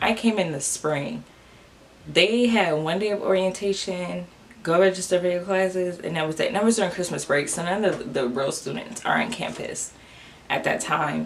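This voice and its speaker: A woman with a fairly low pitch talks as noticeable background noise plays behind her. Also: ordinary pitch variation, moderate pace. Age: 20s. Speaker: recent college graduate. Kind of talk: casual talk to camera. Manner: casual, chatty.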